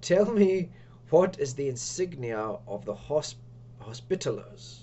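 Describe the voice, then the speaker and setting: Over clear background noise, a man puts on a character voice at medium pitch and a fairly slow pace. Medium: solo performance. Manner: stern, stiff.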